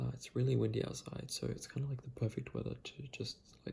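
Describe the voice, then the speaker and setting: Whispering in a relaxed tone, a man speaks at a moderate pace. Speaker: video game fan and ASMR-style video creator. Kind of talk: casual talk to camera. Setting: late at night, quiet room. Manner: soft-spoken, relaxed.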